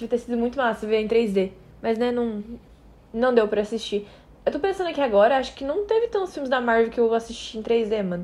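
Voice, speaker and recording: A woman talks at a fairly quick pace in an unremarkable speaking voice. Her pitch is fairly high, with ordinary pitch variation. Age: 18. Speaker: podcast co-host. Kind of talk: casual chat.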